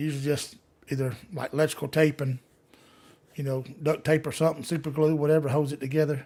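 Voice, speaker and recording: A man speaks very fast in a Southern US accent, his pitch fairly high. His intonation stays flat and monotone. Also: very clean recording, silent background. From US South, Gulf Coast Alabama. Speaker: livestreamer, law enforcement officer. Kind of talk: live Q&A chat. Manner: usually soft-spoken, can get loud; plain, casual, halting.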